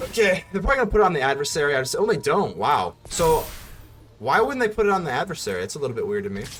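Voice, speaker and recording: A man with a high voice talks very fast and swings his pitch very widely. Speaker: card game streamer. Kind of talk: live gameplay commentary. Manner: animated.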